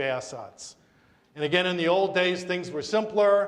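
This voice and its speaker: Pitched high, a man speaks with fairly even intonation. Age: 60s. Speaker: estate planning attorney. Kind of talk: community talk on wills. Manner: conversational.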